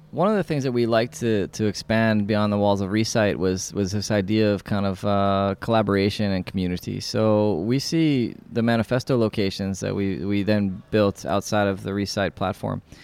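A man in a New York accent with ordinary pitch variation and hardly any pauses. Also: moderate pace. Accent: New York American. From New York City. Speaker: landscape architect and nonprofit founder. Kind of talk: interview monologue. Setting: community space. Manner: casual with frequent fillers.

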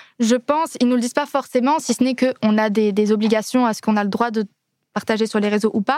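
Speaking at a fairly quick pace, a woman has a fairly high pitch, recorded with a dry, close sound and no echo. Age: 20s. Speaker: singer. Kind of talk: casual chat. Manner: animated.

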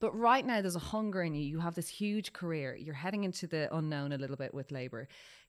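A woman with an Irish accent, a fairly low pitch and lively intonation, in a very clean recording with a silent background. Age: 30s. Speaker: podcast host. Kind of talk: casual chat. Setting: studio.

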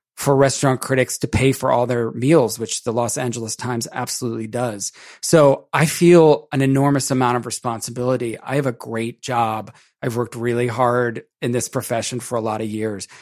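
A man with an American accent, a plain, everyday voice, medium pitch and a fairly quick pace, on a very clean recording with a silent background. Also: fairly even intonation. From Maryland, US. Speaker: food critic. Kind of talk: casual interview chat.

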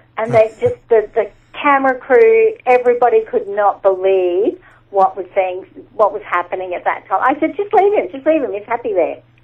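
The intonation here is lively. The speaker has an Australian accent. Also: woman. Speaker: animal communicator and medium. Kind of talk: interview. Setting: remote call.

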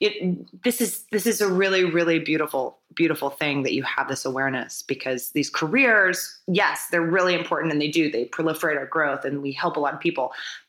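A woman with a fairly low pitch talks at a fairly quick pace. Her intonation is lively. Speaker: podcast host. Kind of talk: casual chat. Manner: animated.

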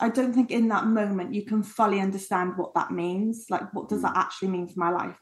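Speaking with an English accent, a woman sounds somewhat breathy. Her pitch is medium, with ordinary variation. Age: 30s. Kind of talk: casual chat.

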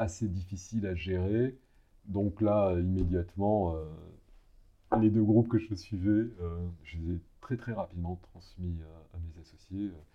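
Pausing long and often, a man talks at a fairly slow pace with fairly even intonation. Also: fairly low pitch for a man. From provincial France. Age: 60s. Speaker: lawyer. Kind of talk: interview. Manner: halting, many repetitions and fillers.

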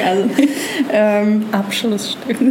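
Noticeable background noise and audible room echo accompany this woman as she speaks. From Germany, Nuremberg (Franconia). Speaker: actress. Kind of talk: casual interview. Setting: outdoors on a hotel terrace by the sea.

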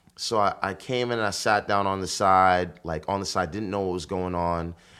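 Speech comes in a New York accent at a moderate pace with fairly even intonation. The recording is very clean and the background silent. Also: man. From Bronx, New York. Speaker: marketing executive and party promoter. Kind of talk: casual interview chat. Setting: studio.

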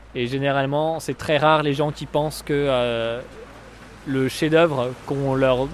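Noticeable background noise surrounds a man whose voice sits fairly high in pitch. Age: 20s. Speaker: comedian. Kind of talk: casual chat. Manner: hesitant, many fillers.

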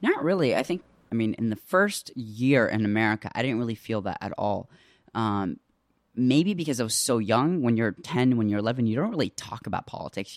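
A man speaks in a normal speaking voice at a medium pitch and a fairly quick pace. His intonation is lively, and the sound is dry and close with no echo. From Iraq (Baghdad), raised in the US. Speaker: podcast host. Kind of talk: interview. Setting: archive interview.

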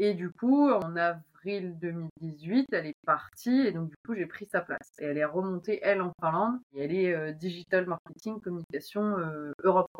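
A woman with a normal speaking voice, fairly low in pitch, with hardly any pauses. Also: ordinary pitch variation, moderate pace. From northern France, Oise. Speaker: agricultural machinery marketing manager. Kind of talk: casual interview.

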